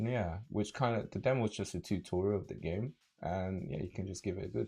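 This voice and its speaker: Fairly low in pitch, a man speaks in a dark, mellow tone with vocal fry. His pace is fairly quick and his pitch varies in an ordinary way. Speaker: fighting game streamer. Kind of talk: casual livestream chat with viewers. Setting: live stream.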